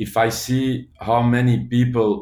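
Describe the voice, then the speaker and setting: A man speaks with a Flemish accent. His voice is somewhat breathy. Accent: Belgian (Flemish) English. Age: 40s. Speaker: social entrepreneur. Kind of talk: interview. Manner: halting.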